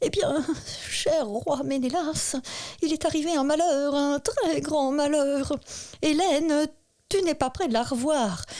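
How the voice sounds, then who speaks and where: A woman puts on a character voice, high-pitched and shaky, speaking at a fairly slow pace with long, frequent pauses. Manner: trembling, fearful.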